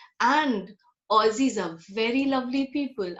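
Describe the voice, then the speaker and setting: A woman with an Indian accent speaks at a high pitch. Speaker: guest speaker. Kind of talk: casual chat.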